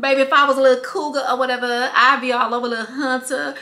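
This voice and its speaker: A woman speaks in a raised, projected voice. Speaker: vlogger. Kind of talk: casual vlog chat.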